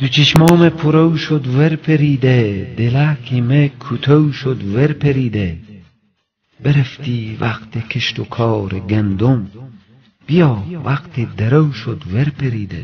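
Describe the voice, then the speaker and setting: The speaker uses a Herati accent at a very slow pace with ordinary pitch variation. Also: man, medium pitch for a man. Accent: Herati Dari. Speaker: poetry reciter. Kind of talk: poetry reading.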